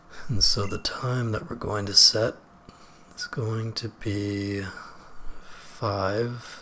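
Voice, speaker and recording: Over noticeable background noise, the speech moves at a very slow pace with long, frequent pauses and fairly even intonation. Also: man, medium pitch for a man. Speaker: gaming video creator. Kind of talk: let's play commentary. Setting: home recording late at night. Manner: whispering.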